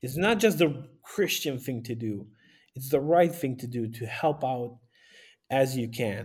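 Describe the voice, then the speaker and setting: A man with a Romanian accent speaks at a fairly slow pace and medium pitch, somewhat breathy, with ordinary pitch variation and big swings in loudness, in a very clean recording with a silent background. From northern Romania, Maramureș. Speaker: pastor and aid volunteer. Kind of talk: interview.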